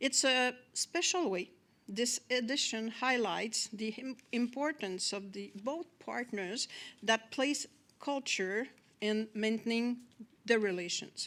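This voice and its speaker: Speaking very slowly in a Quebec accent, a woman uses a fairly high pitch with ordinary pitch variation. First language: French. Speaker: government official. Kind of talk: formal welcome speech. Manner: formal; halting.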